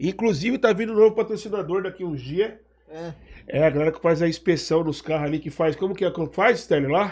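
On a very clean recording with a silent background, a man talks at a fairly quick pace in a high voice with ordinary pitch variation. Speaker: podcast host. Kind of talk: casual chat.

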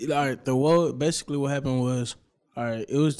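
This man has a plain, everyday voice, speaking at a moderate pace with an American accent, a medium pitch and fairly even intonation. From Dallas, Texas (Oak Cliff). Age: 18. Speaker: rapper and dancer. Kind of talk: casual interview.

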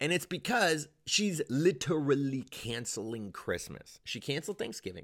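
A man with an American accent speaks at a fairly high pitch in an animated tone with vocal fry and very wide pitch swings. His pace is moderate with hardly any pauses, in a very clean recording with a silent background. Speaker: podcast host and stand-up comedian. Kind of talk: monologue rant.

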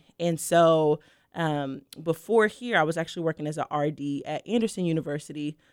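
Speaking with an American accent, a woman talks at a fairly quick pace with a fairly low pitch and ordinary pitch variation, in an ordinary speaking voice. The recording is very clean with a silent background, and the sound is dry and close with no echo. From Brooklyn, New York. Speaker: university student conduct director. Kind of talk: casual interview.

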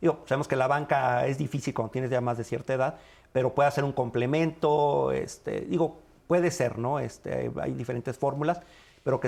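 At a fairly quick pace, a man with a medium pitch and vocal fry keeps a fairly even intonation. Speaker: housing fund executive. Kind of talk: radio interview. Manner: halting, many fillers.

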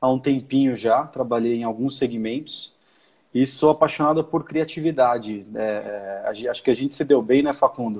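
A man at a medium pitch and moderate pace, with fairly even intonation, on a very clean recording with a silent background. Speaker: marketing director. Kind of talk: casual interview chat. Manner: hesitant, many fillers.

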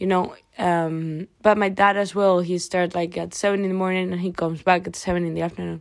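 A woman with a Spanish accent speaks at a moderate pace in a fairly low pitch, with fairly even intonation. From Spain. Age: 20s. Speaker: podcast host, student. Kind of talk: casual chat.

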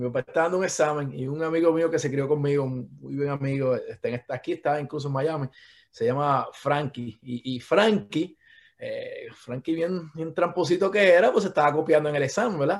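Somewhat breathy, the man's speech lands at a fairly high pitch. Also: ordinary pitch variation, moderate pace. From Puerto Rico, Patillas. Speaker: sports medicine doctor. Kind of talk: casual interview.

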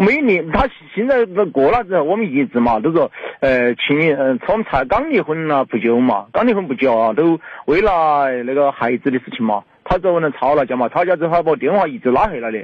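The man's voice sits fairly high and swings very widely in pitch. He talks at a fairly quick pace. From Fengdu, Chongqing. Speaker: caller. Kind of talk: phone-in personal problem. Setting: phone call. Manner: halting.

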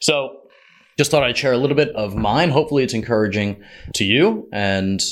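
A man with an American accent speaks in an unremarkable speaking voice with lively intonation at a moderate pace. The recording is very clean, with a silent background. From New Jersey. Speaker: podcast host, real estate investor. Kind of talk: personal storytelling monologue.

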